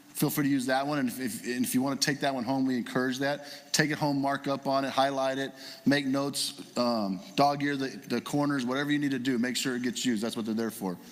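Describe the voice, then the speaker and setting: Very fast speech from a man at medium pitch, fairly even intonation, with noticeable background noise. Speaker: guest preacher. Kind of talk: sermon. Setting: church.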